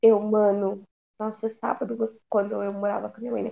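A fairly quick pace carries the speech along. Its tone is dark and mellow. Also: woman. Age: 20s. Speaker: podcast co-host. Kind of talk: casual chat. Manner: animated.

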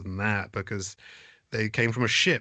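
In an East Anglian accent, the voice has a bright, sharp tone over a quiet background. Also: man. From England, East Anglia (Suffolk). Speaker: theatre managing director and actor. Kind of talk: casual chat. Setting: video call.

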